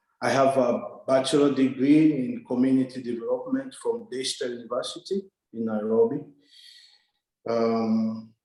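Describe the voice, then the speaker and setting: A man with a Congolese accent speaks at a medium pitch in a dark, mellow tone. His pace is moderate and his intonation fairly even, broken by long, frequent pauses. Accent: Congolese francophone African English. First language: French. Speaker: development worker, scholarship recipient. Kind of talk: interview. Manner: hesitant, many fillers.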